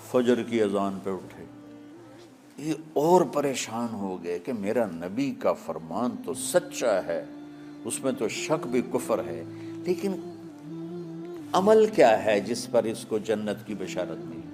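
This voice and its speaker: Big swings in loudness and very wide pitch swings mark this man's speech over music in the background. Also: medium pitch for a man. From Pakistan. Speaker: Islamic scholar and preacher. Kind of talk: religious sermon (bayan) telling a story to an audience.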